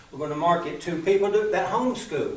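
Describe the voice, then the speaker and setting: With noticeable background noise, a man with an Appalachian accent speaks at a moderate pace and a high pitch for a man, his pitch varying in an ordinary way. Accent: Appalachian Southern US. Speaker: storyteller. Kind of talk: business pitch presentation.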